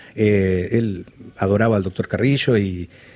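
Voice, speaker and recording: Against a silent background, this very clean recording captures a man talking. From Argentina, Balcarce (Buenos Aires province). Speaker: writer and journalist. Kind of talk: interview. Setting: studio. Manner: halting, many repetitions.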